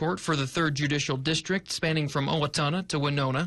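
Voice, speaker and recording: Against noticeable background noise, a man talks fairly quickly in a fairly high voice. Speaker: morning news anchor and reporter. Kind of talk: TV news package voiceover.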